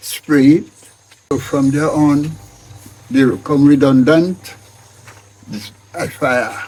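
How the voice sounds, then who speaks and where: This man's voice sits fairly high in pitch. He talks at a very slow pace. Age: 80s+. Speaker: farmer. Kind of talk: interview answer.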